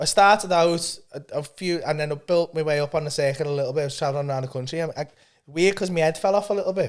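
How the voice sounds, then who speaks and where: A fairly high-pitched man with a Liverpool accent, animated tone, ordinary pitch variation and very fast pace. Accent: Scouse (Liverpool). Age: 50s. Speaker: stand-up comedian. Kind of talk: casual chat.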